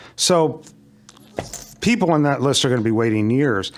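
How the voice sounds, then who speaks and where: A man with a medium pitch and an unremarkable speaking voice talks at a moderate pace with lively intonation. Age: 60s. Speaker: resident speaking at public hearing. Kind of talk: public comment at town meeting. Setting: town commission meeting.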